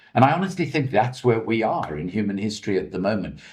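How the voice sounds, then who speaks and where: Here a man talks at a moderate pace with a fairly low pitch. His voice is somewhat breathy. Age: 60s. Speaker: investigative journalist, former politician. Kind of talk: press conference answer.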